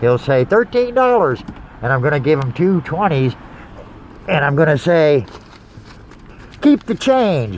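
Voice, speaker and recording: Over noticeable background noise, a man talks at a moderate pace with very wide swings in pitch. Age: 60s. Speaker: small business owner and veteran. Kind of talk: casual vlog monologue. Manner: halting, many fillers.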